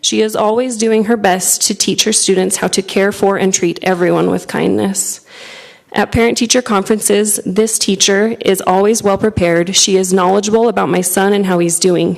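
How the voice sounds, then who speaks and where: A soft-spoken woman at medium pitch, moderate pace, very even loudness and fairly even intonation, amid noticeable background noise. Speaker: parent giving public comment. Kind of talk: public comment read from prepared statement. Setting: school board meeting room.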